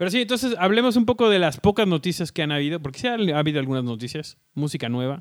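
A man at a fairly quick pace, his pitch swinging very widely. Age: 30s. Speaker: podcast co-host. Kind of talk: casual chat. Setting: recording at home.

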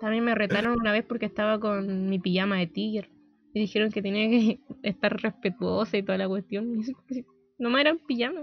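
A woman with a Chilean accent talks at a fairly quick pace in a fairly high pitch, her intonation fairly even, with music playing in the background. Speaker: podcast co-host. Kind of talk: casual chat.

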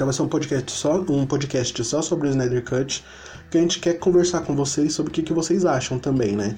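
This man has a fairly high pitch and a dark, mellow, somewhat breathy tone, speaking at a fairly quick pace with ordinary pitch variation. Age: 20s. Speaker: podcast host. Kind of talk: casual chat. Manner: animated.

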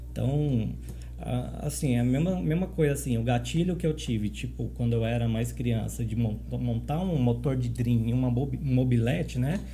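A man talks at a moderate pace with very even loudness, and room echo can be heard. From São Paulo city, Brazil. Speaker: motorcycle club ex-president. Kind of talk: casual podcast interview. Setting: studio, live-streamed.

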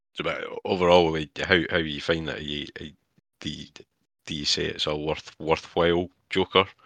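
With a Scottish accent, a man speaks at a very deep, low pitch and a fairly slow pace. His monotone, flat intonation comes through in a dry, close sound with no echo. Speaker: podcast co-host. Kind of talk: casual chat.

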